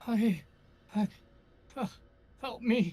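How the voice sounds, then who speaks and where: The speaker whispers. It is a put-on character voice. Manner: whispering, weak.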